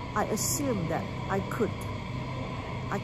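Music sounds in the background. A woman talks over it. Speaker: travel vlogger. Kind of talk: casual vlog chat. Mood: explaining, mildly frustrated. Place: station. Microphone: phone near.

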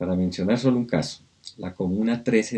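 At a moderate pace, a dark, mellow tone speaks over a quiet background. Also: man. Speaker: speaker. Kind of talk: lecture. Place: home room. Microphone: webcam.

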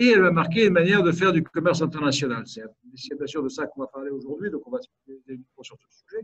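Talking at a very fast pace over a quiet background, a man uses a fairly high pitch with ordinary pitch variation. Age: 50s. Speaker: business owner and think tank president. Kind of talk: webinar presentation. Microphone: video call.

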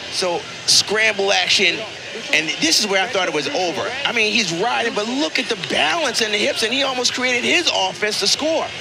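Over noticeable background noise, a high-pitched man speaks at a moderate pace in an animated, enthusiastic tone, his intonation lively and his loudness very even. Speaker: color commentator. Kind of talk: live sports commentary. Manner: animated, excitable, enthusiastic analysis with repeats.

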